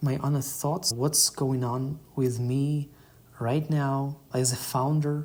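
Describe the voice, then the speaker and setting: A man talks at a fairly slow pace with a non-native accent. His fairly high voice has a dark, mellow tone and sounds somewhat breathy. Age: 20s. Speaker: startup founder. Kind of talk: podcast monologue. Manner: slightly halting.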